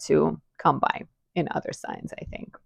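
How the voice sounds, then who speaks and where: A fairly slow-paced woman with a non-native accent. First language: not English. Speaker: astrologer, video creator. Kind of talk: casual vlog monologue. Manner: chatty.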